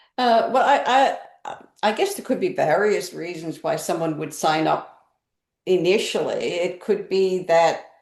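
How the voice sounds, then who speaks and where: Fairly slow talking comes through with audible echo from the room. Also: woman. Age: 70s. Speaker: mentor and community leader. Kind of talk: interview. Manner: halting, with many fillers and restarts.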